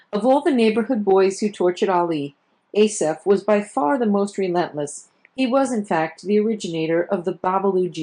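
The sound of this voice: The background is quiet throughout. An unforced reading voice carries lively intonation.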